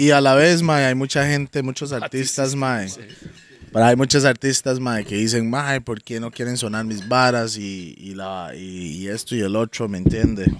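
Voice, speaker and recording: A man with an unremarkable speaking voice talks at a moderate pace and medium pitch, with ordinary pitch variation, big swings in loudness and a dry sound with no echo. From Costa Rica. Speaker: podcast co-host. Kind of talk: casual chat. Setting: outdoors in the jungle. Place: garden. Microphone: studio mic.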